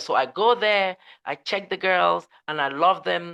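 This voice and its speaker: A woman is heard against a quiet background. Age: 60s. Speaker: modeling agency founder. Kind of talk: interview. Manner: halting.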